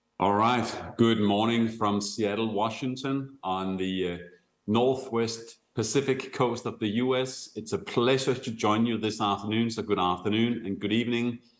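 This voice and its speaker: A man speaks with a Danish accent at a moderate pace. His intonation is fairly even, and there is audible room echo. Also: medium pitch for a man. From Denmark. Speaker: company executive, sales speaker. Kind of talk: conference talk.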